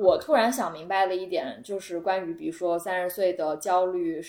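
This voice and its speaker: The woman speaking has a fairly low pitch. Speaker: returning guest. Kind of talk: casual chat. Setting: living room at a friend's home.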